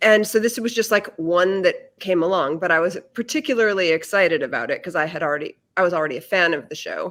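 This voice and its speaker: A woman with an American accent talks very fast at medium pitch, with hardly any pauses. Her intonation is lively. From Massachusetts. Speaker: actress and audiobook narrator. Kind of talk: casual interview.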